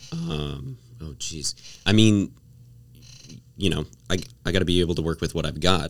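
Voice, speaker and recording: This man's voice sits very deep and low, with vocal fry. He keeps a moderate pace broken by long, frequent pauses. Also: ordinary pitch variation. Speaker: student. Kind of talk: casual chat. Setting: studio.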